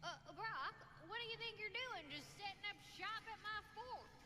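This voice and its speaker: A female-sounding, put-on character voice drawls at an extremely high pitch and a moderate pace over loud background noise. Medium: video game. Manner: folksy drawl, dropped letters.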